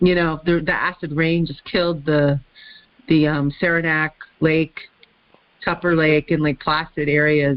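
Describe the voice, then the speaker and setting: At a fairly slow pace, a woman speaks in a very deep, low pitch with flat, monotone intonation and long, frequent pauses. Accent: American. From US South, Florida. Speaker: conference call moderator. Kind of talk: casual chat. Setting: phone conference.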